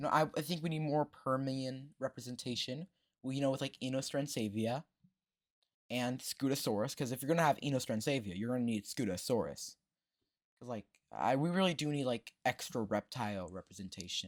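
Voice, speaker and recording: The recording is very clean with a silent background. A man speaks at a medium pitch and fairly quick pace, with ordinary pitch variation. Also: dry, close sound with no echo. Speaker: gaming YouTuber. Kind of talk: casual gameplay commentary. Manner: halting.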